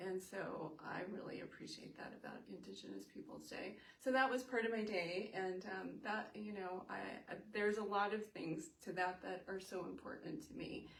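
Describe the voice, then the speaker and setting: In an American accent, a woman speaks at a moderate pace and medium pitch, with ordinary pitch variation and audible room echo. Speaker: mental health advocate. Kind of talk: interview. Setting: Facebook live in her office. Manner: halting, many fillers; soft-spoken.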